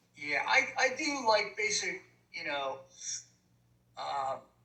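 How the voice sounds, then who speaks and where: Very slowly, a man speaks while background noise is noticeable around him. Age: 60s. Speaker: retired music teacher and musician. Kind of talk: casual chat.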